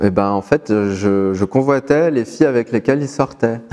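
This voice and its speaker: Fairly slow pace and ordinary pitch variation in a dark, mellow tone. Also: man. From France, Moroccan heritage. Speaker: interviewee sharing life story. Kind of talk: personal testimony to camera. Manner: halting, many repetitions.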